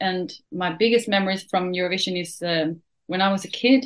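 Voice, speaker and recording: A woman with a Swedish accent speaks at a medium pitch with ordinary pitch variation. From Sweden. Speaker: country singer. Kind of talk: interview.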